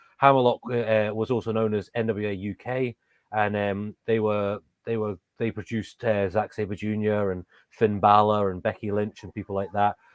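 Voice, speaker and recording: A man speaks in an English accent at a fairly low pitch. His intonation is flat and monotone. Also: moderate pace. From England. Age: 30s. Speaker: professional wrestler. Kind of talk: interview. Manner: hesitant, many fillers and restarts.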